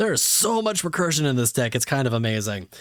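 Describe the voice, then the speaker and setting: A very clean recording of a man, silent in the background. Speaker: streamer. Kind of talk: livestream unboxing. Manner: fast.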